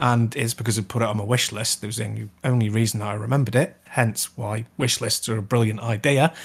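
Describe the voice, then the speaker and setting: Someone speaks with a British accent at a very fast pace with hardly any pauses. The voice is somewhat breathy and the intonation fairly even. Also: man, medium pitch for a man. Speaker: gaming podcast co-host. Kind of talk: casual chat.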